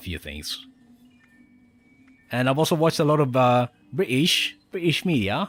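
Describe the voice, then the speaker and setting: Over background music, a man is talking. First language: Spanish. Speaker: gaming streamer. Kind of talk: live stream gameplay commentary. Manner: casual, halting with fillers.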